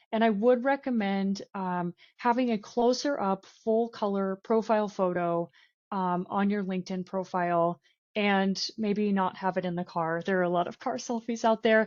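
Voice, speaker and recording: This is a woman with an unremarkable speaking voice. Her pitch is medium, with ordinary variation. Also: moderate pace. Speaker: recruiter. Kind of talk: webinar presentation.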